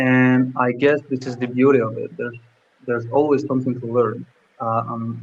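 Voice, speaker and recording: With a French accent, a man of medium pitch speaks at a moderate pace in a flat, monotone way. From Algeria. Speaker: former university student, professional using English at work. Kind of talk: live stream interview. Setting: live stream. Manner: halting, many fillers.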